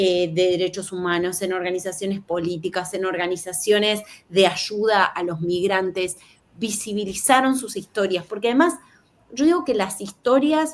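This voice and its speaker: In a Rioplatense accent, a woman talks at a moderate pace with medium pitch and ordinary pitch variation. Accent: Argentine Rioplatense Spanish. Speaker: journalist. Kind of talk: interview.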